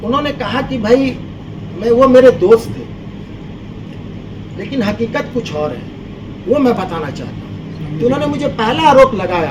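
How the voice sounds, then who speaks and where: Over noticeable background noise and audible room echo, a man with a high pitch talks in an animated tone, with lively intonation, big swings in loudness and long, frequent pauses. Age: 60s. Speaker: complainant in police case. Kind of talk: press conference statement.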